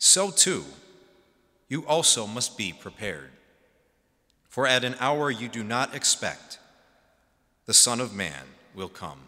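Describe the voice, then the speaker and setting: Against a quiet background, the fairly slow speech has long, frequent pauses, very wide pitch swings and vocal fry. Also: man. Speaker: priest or deacon. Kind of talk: liturgical Gospel reading. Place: church. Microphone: podium.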